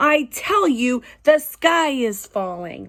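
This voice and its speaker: In a put-on character voice, a woman speaks at a high pitch and a very slow pace. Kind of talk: bedtime story. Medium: read story. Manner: fretful, insistent.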